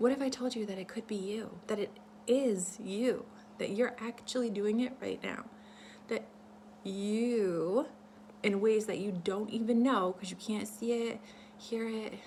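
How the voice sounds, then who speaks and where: A woman speaks with fairly even intonation and long, frequent pauses against noticeable background noise. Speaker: vlogger sharing ideas for a book. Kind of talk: casual talk-to-camera monologue, partly reading a script. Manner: many fillers and restarts.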